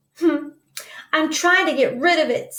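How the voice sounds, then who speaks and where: A squeaky, put-on character voice speaks at a moderate pace with an anxious tone and lively intonation. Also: woman, extremely high pitch for a woman. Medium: read story.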